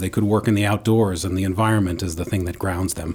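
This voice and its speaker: The man speaks at a fairly low pitch with an American accent. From New York City. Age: 40s. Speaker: nonprofit CEO and former state senator. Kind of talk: radio interview. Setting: studio.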